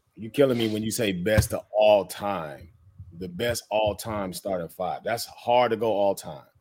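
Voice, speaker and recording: A man's ordinary speaking voice, fairly low in pitch, at a fairly slow pace with ordinary pitch variation. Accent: American. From Denver, Colorado. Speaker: navy veteran, DJ. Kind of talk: casual chat.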